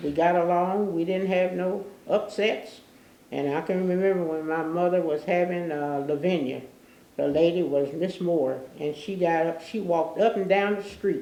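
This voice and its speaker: A woman with an American accent speaks in a fairly low pitch. Her intonation is fairly even, and room echo is audible. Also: moderate pace. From Newport, Kentucky. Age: 90s. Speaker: oral history interviewee. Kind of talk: oral history interview. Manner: halting.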